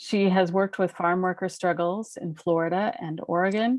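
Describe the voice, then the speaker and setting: A woman speaks at a moderate pace in an ordinary speaking voice. Her pitch is fairly low and her intonation fairly even. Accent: Canadian. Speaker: webinar host introducing speakers. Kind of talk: speaker introduction.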